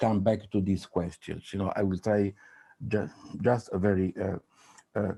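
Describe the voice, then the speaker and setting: With a non-native accent and a dark, mellow tone, the speaker talks at a moderate pace in monotone, flat intonation with long, frequent pauses, in a dry, close sound with no echo. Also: man, fairly low pitch for a man. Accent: non-native English, rough. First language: Italian. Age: old. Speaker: psychoanalyst and author. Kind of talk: panel talk. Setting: video call. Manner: halting, many fillers and repetitions.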